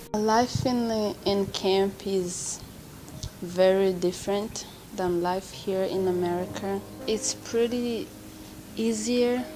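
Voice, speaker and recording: A woman's medium-pitched voice at a very slow pace with fairly even intonation, amid noticeable background noise and audible room echo. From Rwanda. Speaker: college student and refugee. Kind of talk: interview testimony.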